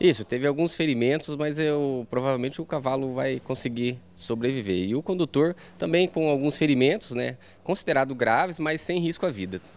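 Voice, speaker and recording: With ordinary variation in pitch, a man talks at a moderate speed. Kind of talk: interview answer. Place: station. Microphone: handheld.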